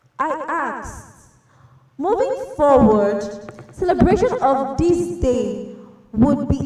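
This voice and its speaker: Against music in the background and audible room echo, a woman speaks at a high pitch with very wide pitch swings. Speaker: event moderator. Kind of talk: online panel moderation. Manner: formal.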